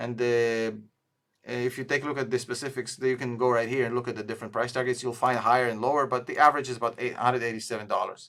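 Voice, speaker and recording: A man talks very fast with a non-native accent, at a medium pitch. His intonation stays monotone and flat. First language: not English. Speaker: stock analysis youtuber, tool co-founder. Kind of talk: screen-share stock review. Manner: hesitant, many fillers.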